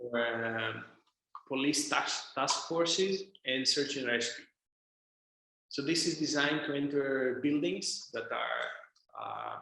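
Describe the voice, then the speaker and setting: A man with a Greek accent speaks at a fairly high pitch. His pace is very slow, with long, frequent pauses. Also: ordinary pitch variation. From Greece, Thessaloniki. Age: 20s. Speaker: drone company founder and CEO. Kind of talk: interview answer.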